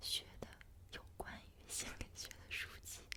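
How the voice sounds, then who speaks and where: Whispering in a gentle tone at a fairly slow pace, a woman is heard over noticeable background noise. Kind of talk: ASMR one-on-one chat sharing daily reflections. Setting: pure voice, no background music. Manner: soft, gentle, intimate.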